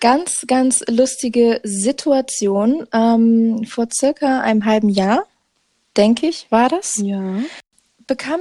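A woman speaks with a fairly high pitch and ordinary pitch variation, her tone dark and mellow. The sound is dry and close, with no echo. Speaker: podcast co-host. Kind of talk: casual chat. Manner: hesitant, many fillers. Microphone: muffled, recording under a blanket.

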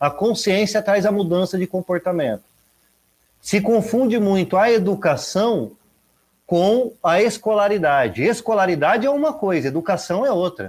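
Keeping his loudness very even, a man speaks high and at a moderate pace with lively intonation. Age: 30s. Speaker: environmental educator. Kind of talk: casual interview chat.

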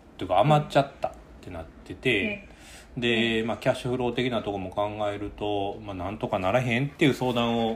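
Speaking fast enough to count as fairly quick, a man with a Kansai accent keeps a medium pitch while his loudness swings widely. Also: ordinary pitch variation. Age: 30s. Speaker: coffee company podcast host. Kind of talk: casual chat.

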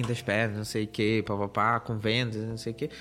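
A man's voice at medium pitch. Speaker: tech podcast host. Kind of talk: casual chat.

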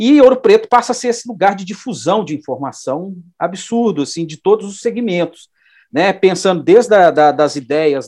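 A man's pitch swings very widely against a quiet background. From Minas Gerais, Brazil (Belo Horizonte). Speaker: design professor and researcher. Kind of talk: interview. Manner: halting, many fillers.

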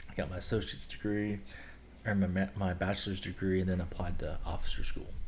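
A man talks at a very fast pace in a very deep, low, flat monotone. His voice is somewhat breathy, and the room echo is audible. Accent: American. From Kentucky, US. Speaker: air force officer. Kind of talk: casual interview.

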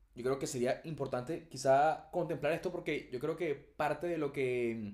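A man with a Venezuelan accent speaks at a fairly slow pace. His voice is fairly high, with ordinary pitch variation. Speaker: podcast co-host. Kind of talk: casual chat.

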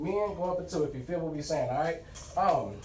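A man with an American accent talking very fast, with noticeable background noise and audible room echo. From Houston, Texas. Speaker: podcast host. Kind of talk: casual chat.

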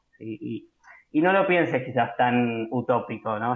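Here a man speaks with a Rioplatense accent. His pace is moderate. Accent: Rioplatense Spanish (porteño). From Buenos Aires, Argentina (Caballito). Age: 20s. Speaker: university graduate, podcast interviewee. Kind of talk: casual interview. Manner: hesitant, many fillers.

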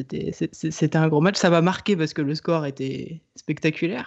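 A man with a normal speaking voice talks at a fairly slow pace, his fairly high pitch showing ordinary variation. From Le Mans, France. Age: 20s. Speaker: football supporter, social media account. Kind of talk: casual chat.

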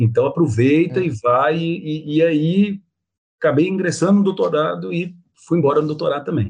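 Speaking at a fairly high pitch with ordinary pitch variation, a man has an unremarkable speaking voice. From Minas Gerais, Brazil (Belo Horizonte). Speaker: biology professor. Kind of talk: interview.

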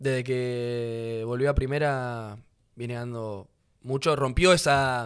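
A man speaks at a very slow pace in a medium-pitched voice with fairly even intonation. His loudness swings widely. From Rosario, Argentina. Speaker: footballer. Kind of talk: casual chat.

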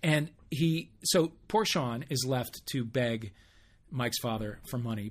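A man's medium-pitched, somewhat breathy voice on a very clean recording with a silent background. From US Midwest, St. Louis area. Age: 50s. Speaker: podcast co-host. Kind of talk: casual chat.

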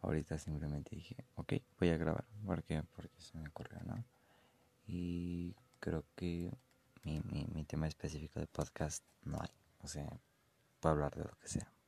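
Very deep and low, a man's dark, mellow voice moves at a fairly slow pace with long, frequent pauses. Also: ordinary pitch variation, dry, close sound with no echo. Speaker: amateur podcaster. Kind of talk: casual monologue. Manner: halting.

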